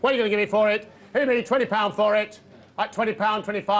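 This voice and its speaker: The man speaks at a high pitch. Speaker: volunteer charity auctioneer. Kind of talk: auction calling. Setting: live auction room. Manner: smooth, charming patter. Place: hall.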